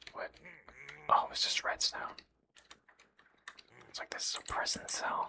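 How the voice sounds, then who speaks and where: Whispering in a soothing tone, the speaker goes at a fairly slow pace with long, frequent pauses. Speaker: gaming ASMR creator. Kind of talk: whispered ASMR gaming commentary. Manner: whispered; soft-spoken, soothing.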